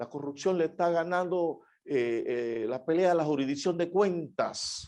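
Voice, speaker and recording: A man speaks with fairly high pitch and ordinary pitch variation. He has an ordinary speaking voice. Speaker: judge giving a conference talk. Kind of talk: conference keynote speech. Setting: online conference.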